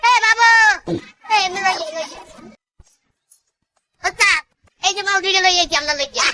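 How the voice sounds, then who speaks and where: In a cartoonish character voice, the speaker talks at a fairly quick pace and an extremely high pitch. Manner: wheedling, colloquial.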